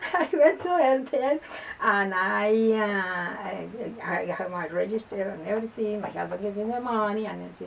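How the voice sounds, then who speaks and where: A woman with lively intonation talks fairly slowly while noticeable background noise plays underneath. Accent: Spanish. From Colombia, Bogotá. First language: Spanish. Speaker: lawyer and first-time author. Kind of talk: interview. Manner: halting, repeats words.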